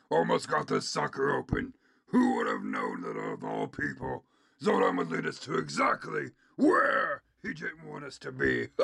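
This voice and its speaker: A put-on character voice is used here. It keeps to a moderate pace. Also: man. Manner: furious, arrogant, barking orders.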